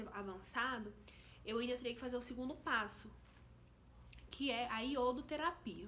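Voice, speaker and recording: Audible room echo surrounds a woman speaking at a fairly slow pace in a high pitch with ordinary pitch variation. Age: 20s. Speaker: vlogger. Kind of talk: personal testimony vlog.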